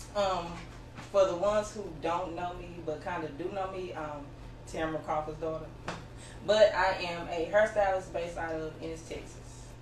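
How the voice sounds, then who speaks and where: A woman talks at a moderate pace with a fairly low pitch and fairly even intonation, though her loudness swings widely. Noticeable background noise and audible room echo surround her voice. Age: 30s. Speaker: hairstylist. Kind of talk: interview.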